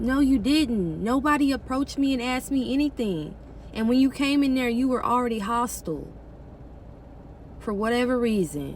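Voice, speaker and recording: The voice has an animated tone and ordinary pitch variation. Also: woman, high pitch for a woman, moderate pace. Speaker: vlogger. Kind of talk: personal vlog storytelling.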